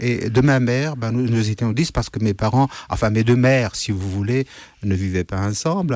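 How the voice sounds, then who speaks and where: A man with a Kurdish accent, medium pitch and ordinary pitch variation, at a moderate pace, in a very clean recording with a silent background. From Syria, Kurdish region (Amuda). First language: Kurdish (speaking French). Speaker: writer. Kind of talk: radio interview. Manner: hesitant, many fillers.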